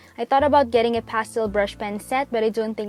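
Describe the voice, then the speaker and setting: Over music in the background, a woman speaks at a fairly high pitch with ordinary pitch variation. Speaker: bullet journal content creator. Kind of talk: voiceover narration of a craft tutorial. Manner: fast talker.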